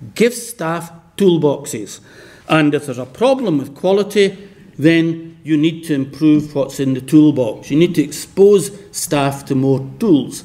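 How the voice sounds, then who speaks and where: A man with a Scottish accent at a fairly slow pace, ordinary pitch variation, and audible room echo. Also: fairly high pitch for a man. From west of Scotland. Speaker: professor. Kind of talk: lecture.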